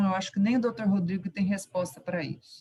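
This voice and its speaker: A woman speaks fairly quickly in a somewhat breathy voice. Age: 60s. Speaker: retired university professor, union member. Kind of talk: question at online union meeting.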